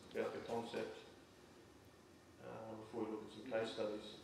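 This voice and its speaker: Man's voice at a moderate pace, amid noticeable background noise and audible room echo. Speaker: farm software presenter. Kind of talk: presentation to audience.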